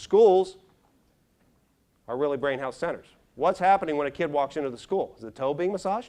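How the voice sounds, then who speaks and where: Lively, fairly high-pitched male speech with an American accent, at a fairly quick pace. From Pittsburgh area, Pennsylvania. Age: 50s. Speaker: brain health speaker. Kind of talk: keynote talk. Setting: stage with audience. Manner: animated.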